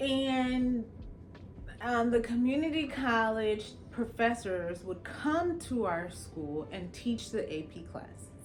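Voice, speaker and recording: A woman's fairly high, lively voice at a very slow pace, with audible room echo. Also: big swings in loudness. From Los Angeles, California, Jamaican immigrant family. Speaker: attorney. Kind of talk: personal storytelling monologue. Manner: casual, conversational.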